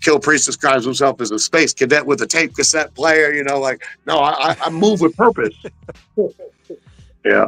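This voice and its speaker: Music plays in the background as a man speaks in a fairly high pitch with lively intonation. The sound is dry and close with no echo, and he leaves long, frequent pauses. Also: moderate pace. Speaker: hip-hop artist and guest. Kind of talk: casual interview chat. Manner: purposeful, hustling delivery; animated.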